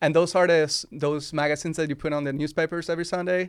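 Recorded very cleanly against a silent background, a man with a Spanish accent speaks with fairly even intonation. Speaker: wedding filmmaker. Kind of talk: casual interview. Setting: studio.

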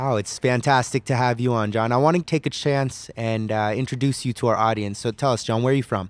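This man has a normal speaking voice with an American accent, medium pitch and fairly even intonation, talking at a fairly quick pace with very even loudness. The sound is dry and close with no echo, on a very clean recording with a silent background. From California. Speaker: podcast host, recent law graduate. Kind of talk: casual interview.

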